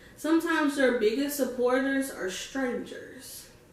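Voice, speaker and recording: Over noticeable background noise and audible room echo, a woman speaks in an animated tone at a fairly slow pace, her pitch high. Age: 20s. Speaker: vlogger. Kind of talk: casual talk to camera.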